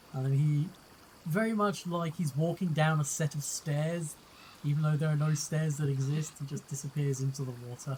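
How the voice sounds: A man's slightly mellow, fairly high voice at a moderate pace, with fairly even intonation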